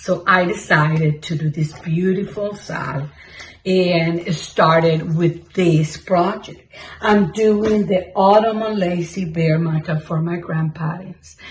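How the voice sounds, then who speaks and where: A woman's fairly low voice with a Mexican accent, at a very slow pace with fairly even intonation, over noticeable background noise. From Mexico. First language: Spanish. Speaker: cross-stitch vlogger. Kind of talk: casual chat. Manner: halting.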